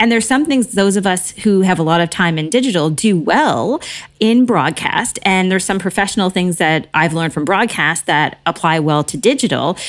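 Barely pausing, a woman talks at a moderate pace in a medium-pitched voice with lively intonation. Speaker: media producer, speaker and podcast host. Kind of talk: casual interview chat. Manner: bubbly, effervescent.

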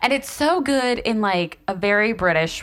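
With an American accent, a woman speaks in an animated tone at a fairly high pitch with very wide pitch swings, against noticeable background noise. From US South. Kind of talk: casual chat.

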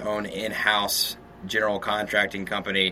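Someone speaks in an American accent over noticeable background noise. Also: man. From US South, Shreveport, Louisiana. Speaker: real estate developer. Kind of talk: interview. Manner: casual.

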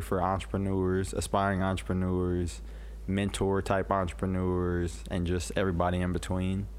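A man's very deep, low voice with an American accent, at a moderate pace, with ordinary pitch variation and audible room echo. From Illinois, US Midwest. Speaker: real estate investor and business owner. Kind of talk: casual interview chat.

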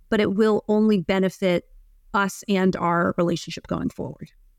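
A woman speaks in a plain, everyday voice at a moderate pace with ordinary pitch variation. The recording is very clean and dry, close, with no echo and a silent background. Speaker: psychotherapist. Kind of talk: casual interview conversation.

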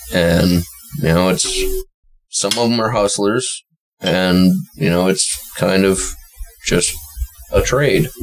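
A man's very deep, low voice at a very slow pace, very even in loudness, with long, frequent pauses. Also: ordinary pitch variation. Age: 30s. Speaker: podcast co-host. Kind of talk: casual chat.

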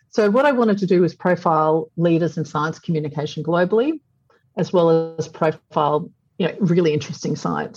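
Somewhat breathy, a woman speaks with an Australian accent. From Australia, Brisbane. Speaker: publisher and entrepreneur. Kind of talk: interview.

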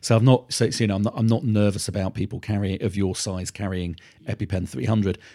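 A man with a British accent, a fairly low pitch and ordinary pitch variation, talking at a very fast pace in a very clean recording with a silent background. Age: 50s. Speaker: pediatric allergy doctor. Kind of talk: interview.

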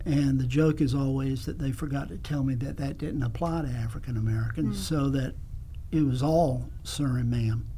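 A man with a South Carolina accent at a moderate pace, with audible room echo. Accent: Southern US (South Carolina). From US South, South Carolina (Kingstree). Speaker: music teacher. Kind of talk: casual interview.

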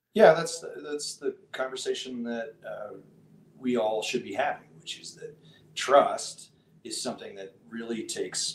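Western US accent at a fairly slow pace. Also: man. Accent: General American (western US). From Colorado. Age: 40s. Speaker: writer and entrepreneur. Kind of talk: casual chat.

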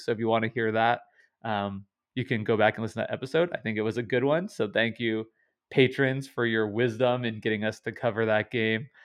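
The speaker is a man with an unremarkable speaking voice. His pitch is medium and his pace fairly quick. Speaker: podcast host. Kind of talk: casual podcast discussion.

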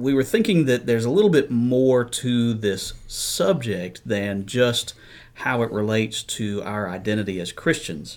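This man has a plain, everyday voice at a medium pitch. The recording is very clean, the background silent. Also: ordinary pitch variation, fairly slow pace. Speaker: podcast host. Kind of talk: casual chat.

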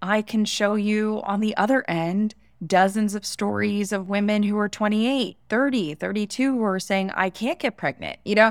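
A woman with an American accent in a plain, everyday voice, medium pitch, ordinary pitch variation and hardly any pauses, on a very clean recording with a silent background. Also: moderate pace. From Florida, US. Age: 30s. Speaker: entrepreneur and personal branding consultant. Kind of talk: interview.

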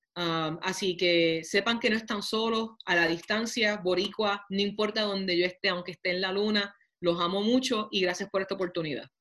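A woman speaks at a moderate pace with medium pitch and fairly even intonation. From Puerto Rico (Toa Baja). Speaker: mayor and congressional candidate. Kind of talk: interview. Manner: halting, many fillers.

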